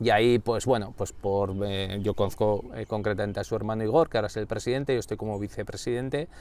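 Speaking at a very fast pace with hardly any pauses, a man holds a fairly low pitch and fairly even intonation in a dry sound with no echo. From Basque Country, Spain (Irun, Gipuzkoa); Basque Country, Spain. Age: 40s. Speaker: director of an organizational culture centre; interview guest. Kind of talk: interview. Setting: in-person at the centre's building. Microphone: lapel.

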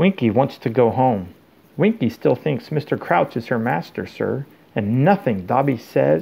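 Lively intonation in an unforced reading voice

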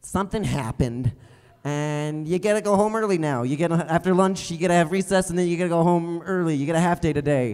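A man with an American accent has a dark, mellow tone and ordinary pitch variation. The background is quiet. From Colorado, Comanche. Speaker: stand-up comedian. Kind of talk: stand-up comedy set. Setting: stage with live audience.

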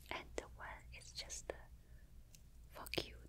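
Whispering over noticeable background noise, a soft-spoken woman talks. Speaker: ASMR creator. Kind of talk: soft casual show-and-tell. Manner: soft close-mic ASMR whisper. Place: home room. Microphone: studio mic.

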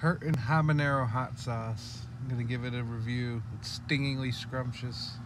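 Recorded with a dry sound and no echo but with noticeable background noise, a man talks at a moderate pace. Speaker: hot sauce reviewer. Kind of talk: casual vlog chat. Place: car. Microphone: phone near.

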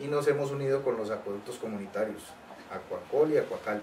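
A man speaks in an unremarkable speaking voice at medium pitch, with fairly even intonation and a moderate pace over light background noise. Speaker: trade union official. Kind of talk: interview. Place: office. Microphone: camera far.

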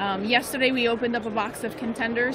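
Loud background noise sits behind a woman speaking at a moderate pace. The sound itself is dry, with no echo. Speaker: livestream host. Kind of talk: live stream commentary. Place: hall.

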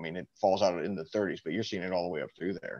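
His delivery races along at a very fast pace. The pitch stays fairly even throughout. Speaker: church group member, history enthusiast. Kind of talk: group discussion. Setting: video call. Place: home room. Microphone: video call.

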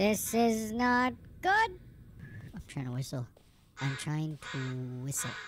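A cartoonish character voice at middle pitch moves at a fairly slow pace, with very wide pitch swings and long, frequent pauses. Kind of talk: let's play gaming commentary. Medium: puppet. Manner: jokey, playful.

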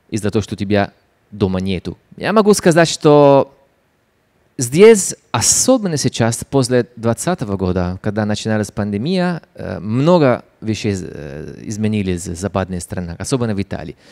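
A man with an Italian accent speaks at a fairly low pitch and a fairly slow pace. His pitch swings very widely against a quiet background. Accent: Italian-accented Russian. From Italy. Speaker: photographer and writer. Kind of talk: public talk interview. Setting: stage with audience. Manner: halting. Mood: warm, animated. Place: stage. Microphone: handheld.

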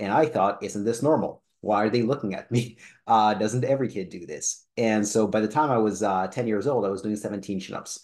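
A man with a normal speaking voice talks at a fairly low pitch and a moderate pace, with ordinary pitch variation. He has hardly any pauses, over a quiet background. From Israel and Canada (born in Soviet Union). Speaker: personal trainer. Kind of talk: personal story vlog.

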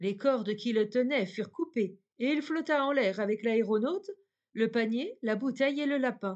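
A woman's fairly high, unremarkable speaking voice with lively intonation. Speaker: audiobook narrator. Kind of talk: bedtime fairy-tale narration, reading aloud. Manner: calm, soft-spoken, slow and dreamy.

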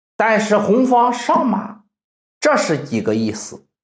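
A man talks at a very slow pace. The background is quiet, though room echo can be heard. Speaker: chess instructor. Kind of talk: lecture.

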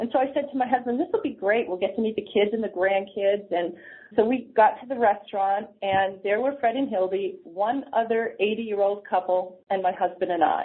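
A woman's unremarkable speaking voice, fairly high in pitch with ordinary pitch variation, with an American accent and hardly any pauses. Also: moderate pace. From New Hampshire, US. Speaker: senior services nonprofit leader. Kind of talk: interview.

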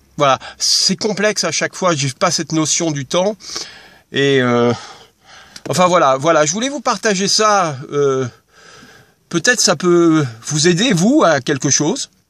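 A high-pitched man speaks at a fairly slow pace with long, frequent pauses, in a dry sound with no echo and a quiet background. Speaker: video blogger. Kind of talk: personal vlog monologue. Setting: in a car. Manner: halting, many hesitations. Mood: reflective, hesitant. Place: car. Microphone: phone near.

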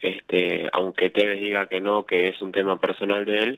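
A man with a Rioplatense accent speaks at a fairly low pitch. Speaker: radio co-host. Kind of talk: radio sports talk show.

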